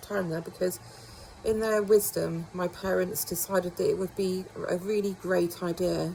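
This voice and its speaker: Over noticeable background noise, the speech moves at a moderate pace with monotone, flat intonation. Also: woman. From northern England. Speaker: beauty treatment vlogger. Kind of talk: casual talk to camera.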